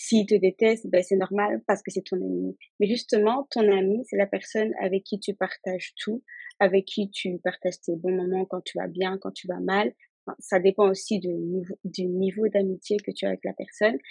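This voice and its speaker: A woman speaks at a medium pitch with a dark, mellow tone and fairly even intonation, her sound dry and close with no echo. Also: moderate pace. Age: 20s. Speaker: insurance claims handler. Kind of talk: casual chat.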